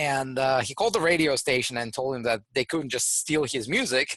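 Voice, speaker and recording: A man speaks in a bright, sharp tone with ordinary pitch variation over a quiet background. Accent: Russian. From Russia. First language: Russian. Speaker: trademark entrepreneur and lawyer. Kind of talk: interview. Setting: studio.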